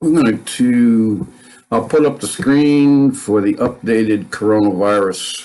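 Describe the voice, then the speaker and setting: A man speaks at a very slow pace in a dark, mellow tone. His pitch sits in the medium range with ordinary variation. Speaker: news livestream host. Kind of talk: casual live news commentary. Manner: slow, halting start.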